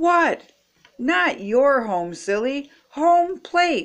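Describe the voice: A woman's put-on character voice, high-pitched with big pitch swings, at a very slow pace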